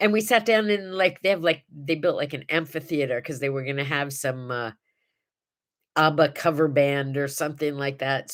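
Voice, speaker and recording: Lively in intonation, a woman speaks at a fairly quick pace. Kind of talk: casual live talk to camera. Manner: upbeat, chatty.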